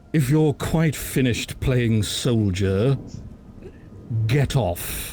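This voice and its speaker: Amid clear background noise, a man puts on a character voice at medium pitch, talking at a very slow pace with long, frequent pauses. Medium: actual play. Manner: curt, scornful.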